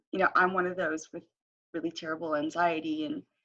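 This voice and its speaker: Her pitch rises and falls in a normal way. This woman's voice is fairly low. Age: 20s. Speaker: former foster youth. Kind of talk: interview. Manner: voice wavers and cracks.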